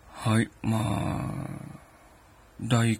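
The voice belongs to a man with a medium pitch. It sounds somewhat breathy. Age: 50s. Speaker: internet radio host. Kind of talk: casual monologue. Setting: late-night solo recording. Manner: many filler hesitations.

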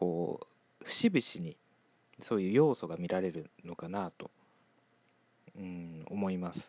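A man with a very deep, low pitch speaks in a calm tone, his loudness swinging widely. He leaves long pauses, and they come often. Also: ordinary pitch variation, fairly slow pace. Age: 20s. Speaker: solo podcaster. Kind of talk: casual monologue.

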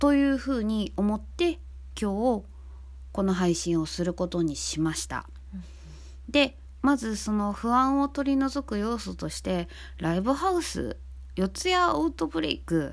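A woman's fairly slow speech on a very clean recording with a silent background. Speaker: band vocalist and podcast host. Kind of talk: casual talk, serious in tone.

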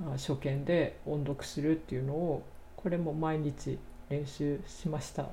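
A woman's very deep, low voice, calm in tone, dark and mellow, somewhat breathy, monotone and flat, at a fairly slow pace with audible room echo. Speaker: podcaster, English learner. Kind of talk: solo talk.

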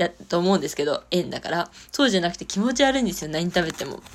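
This woman speaks in a plain, everyday voice at a medium pitch. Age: 20s. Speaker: solo podcaster. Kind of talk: casual monologue.

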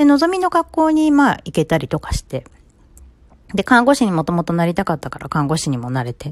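This woman talks fairly quickly in a dry, close recording with no echo. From Japan, Ibaraki. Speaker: psychological counselor. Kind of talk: solo podcast talk. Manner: casual, filler-heavy.

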